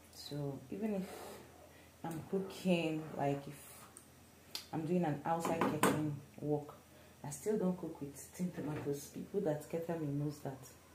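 The speech moves at a fairly slow pace. Noticeable background noise can be heard. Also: woman. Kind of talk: cooking tutorial. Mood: relaxed, opinionated. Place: kitchen. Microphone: phone near.

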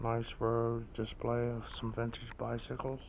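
A man with vocal fry speaks at a fairly slow pace and medium pitch, his intonation monotone and flat.

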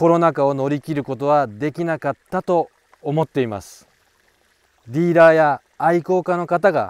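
An unremarkable speaking voice moves at a moderate pace with ordinary pitch variation. The sound is dry and close with no echo. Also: man, fairly high pitch for a man, big swings in loudness. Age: 40s. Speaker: koi breeder and broker. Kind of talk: casual monologue to camera.

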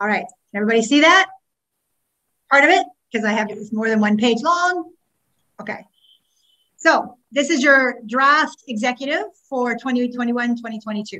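Against a quiet background, a woman with a Canadian accent speaks at a moderate pace in a high pitch, her intonation lively and broken by long, frequent pauses. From Ontario, Canada (Scarborough). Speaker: past president of a teachers' association. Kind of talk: meeting chairing and financial report. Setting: video call. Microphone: video call.

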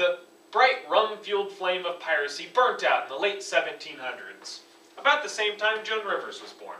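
A man talks in a raised, projected voice with lively intonation and big swings in loudness. Audible room echo surrounds his speech. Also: moderate pace. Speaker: presenter. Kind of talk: comedic school presentation. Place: classroom. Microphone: camera far.

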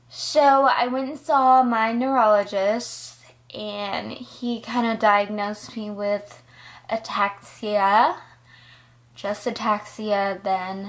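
The woman's pitch is fairly high, and her intonation stays fairly even. She talks at a very slow pace. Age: 20s. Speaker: college student, psychology major. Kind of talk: casual personal story to camera. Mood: earnest, reflective. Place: home room. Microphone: phone near.

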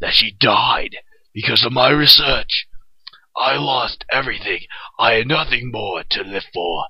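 A raspy man talks at a fairly slow pace in a cartoonish character voice. His intonation is lively. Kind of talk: cartoon fandub audition. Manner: grave, vengeful.

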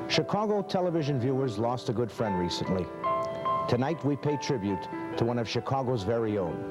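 Loud music plays in the background. Over it, a man talks at a fairly quick pace. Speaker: TV host. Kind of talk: TV tribute narration. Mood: warm, respectful. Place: studio.

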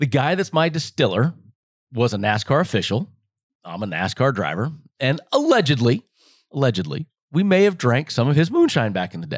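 With an American accent and vocal fry, the speaker moves at a fairly quick pace with very wide pitch swings and long, frequent pauses, on a very clean recording with a silent background. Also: man, medium pitch for a man. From Las Vegas, Nevada. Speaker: retired NASCAR driver and moonshine distillery co-owner. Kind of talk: casual chat.

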